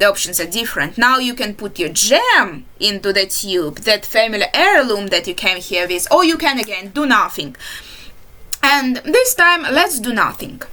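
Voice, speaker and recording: A woman with a non-native accent, her fairly high voice making very wide pitch swings at a moderate pace amid noticeable background noise. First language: not English. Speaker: indie game developer. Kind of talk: game walkthrough commentary. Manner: halting.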